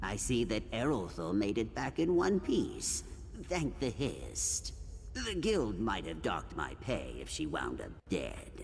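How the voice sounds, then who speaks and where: Clear background noise sits behind the recording. A man speaks in a put-on character voice at a fairly slow pace. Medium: video game. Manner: deadpan, sardonic.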